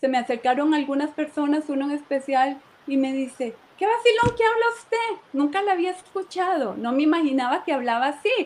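Noticeable background noise sits behind this recording. A woman speaks at a high pitch with very wide pitch swings. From Costa Rica (Moravia, San José). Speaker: church member giving testimony. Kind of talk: testimony. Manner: hesitant, repeats words.

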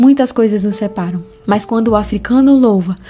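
A woman is speaking. Her pitch sits in the middle range. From Brazilian Northeast, interior. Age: 20s. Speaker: podcast host, theology student. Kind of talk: casual podcast monologue with Bible reading. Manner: animated.

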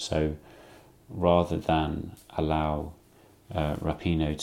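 With an English accent, a man talks in a very deep, low voice and a flat, monotone delivery. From England. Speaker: podcast host. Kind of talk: solo commentary monologue.

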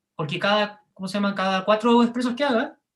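This man talks at a high pitch. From Chile. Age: 20s. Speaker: barista. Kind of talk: interview. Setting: video call.

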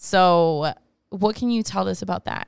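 A woman's plain, everyday voice with an American accent, fairly slow pace and ordinary pitch variation, on a very clean recording with a silent background. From Chicago and Monterrey, Mexico. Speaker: podcast host. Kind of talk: casual chat.

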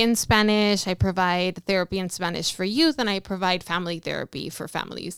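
A woman speaks in an unremarkable speaking voice with an American accent. Her pitch is medium, with ordinary pitch variation. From Los Angeles, California. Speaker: therapist. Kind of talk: interview.

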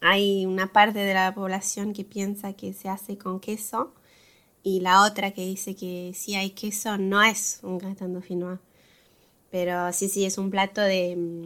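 A woman speaks at a medium pitch with monotone, flat intonation but big swings in loudness. The recording is very clean, with a silent background. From France. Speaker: podcast co-host. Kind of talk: casual interview.

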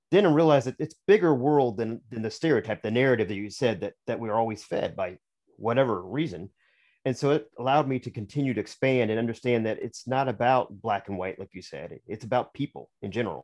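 Against a quiet background, a man talks at a very fast pace and medium pitch with lively intonation, the sound dry and close with no echo. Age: 50s. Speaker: author. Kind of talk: interview.

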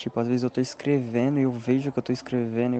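Through noticeable background noise, a man at a medium pitch speaks at a fairly quick pace in a monotone, flat intonation. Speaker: listener, aspiring comedian. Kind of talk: voice message.

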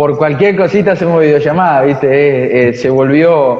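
Audible room echo surrounds the voice. A man with a fairly high pitch speaks with ordinary pitch variation. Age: 20s. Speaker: veterinary student on exchange. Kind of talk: interview.

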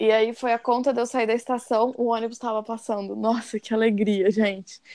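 A dark, mellow tone at a fairly quick pace, with monotone, flat intonation. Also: woman. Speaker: podcast host. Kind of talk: casual chat.

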